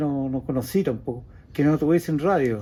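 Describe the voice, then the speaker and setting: A man's dark, mellow tone with a Chilean accent and ordinary pitch variation. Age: 70s. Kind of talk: casual reminiscing interview.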